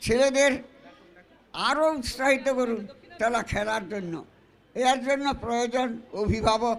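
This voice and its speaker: A man's voice sits at an extremely high pitch, with fairly even intonation. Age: 90s. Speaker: elderly guest speaker. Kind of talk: public speech. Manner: halting.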